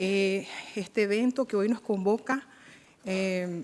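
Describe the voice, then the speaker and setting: In a very clean recording with a silent background, a woman with a Nicaraguan accent talks with fairly even intonation. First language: Miskito (speaking Spanish). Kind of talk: formal event moderation speech. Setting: UN event in Geneva. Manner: hesitant with frequent fillers.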